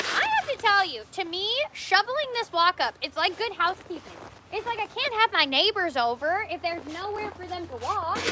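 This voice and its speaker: A woman with a Canadian accent speaks in an animated, raised, projected voice at an extremely high pitch, with very wide pitch swings. She talks at a fairly quick pace over noticeable background noise. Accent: Canadian, compared to Minnesotan. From Canada. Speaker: coffee shop owner and livestreamer. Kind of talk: casual livestream chat. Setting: outdoors.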